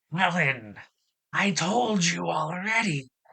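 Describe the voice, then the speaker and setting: A raspy, high-pitched, put-on character voice from a man at a fairly slow pace. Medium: read story. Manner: cheerful, folksy.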